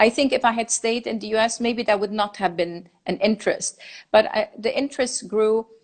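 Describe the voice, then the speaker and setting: A woman's fairly high voice moves at a moderate pace, its intonation staying fairly even. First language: German and Farsi. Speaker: designer and lecturer. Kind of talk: interview conversation. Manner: halting.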